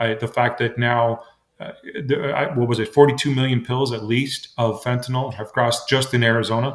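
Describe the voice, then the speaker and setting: This man keeps a moderate pace. His delivery is monotone and flat. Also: medium pitch for a man. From immigrant, came to US at nine. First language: not English. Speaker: state legislator and congressional candidate. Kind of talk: radio interview. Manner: halting, many fillers and repetitions.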